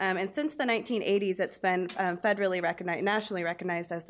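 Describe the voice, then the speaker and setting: The woman's pace is very fast. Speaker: teacher presenting. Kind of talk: public presentation. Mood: warm, slightly nervous. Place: meeting room. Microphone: podium.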